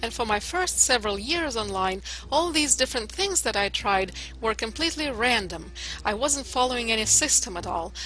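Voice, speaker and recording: With a Russian accent, the speaker talks at a moderate pace over noticeable background noise. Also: woman. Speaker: internet marketer. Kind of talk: testimony. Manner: hesitant, with filler uhs.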